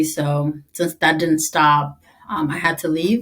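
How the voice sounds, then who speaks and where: A woman with an Eritrean accent, fairly low in pitch, at a fairly slow pace with fairly even intonation. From East Africa (Tigrinya-speaking), moved to US at 11. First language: Tigrinya. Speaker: army veteran. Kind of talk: interview.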